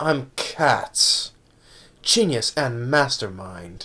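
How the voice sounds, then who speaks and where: A man does a put-on character voice at a fairly high pitch. He speaks at a very slow pace. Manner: sinister, scheming.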